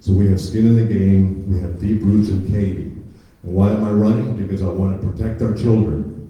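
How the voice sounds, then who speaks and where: The speech comes at a moderate pace in a flat monotone, with audible echo from the room. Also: man, fairly low pitch for a man. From Cuba, raised in the US from age seven. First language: Spanish. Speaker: school board candidate. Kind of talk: candidate forum speech. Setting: public forum with audience.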